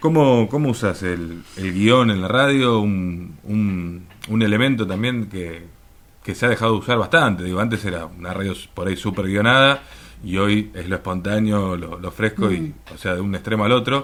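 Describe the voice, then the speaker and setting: Here a man has an ordinary speaking voice at a fairly low pitch. He keeps a moderate pace with ordinary pitch variation. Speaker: radio interviewer. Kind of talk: interview questions.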